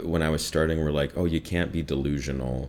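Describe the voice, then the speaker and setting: With a slight Midwestern accent, a man speaks at a very deep, low pitch with lively intonation. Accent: slight Midwestern American. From US Midwest. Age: 30s. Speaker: voiceover artist. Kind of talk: casual interview.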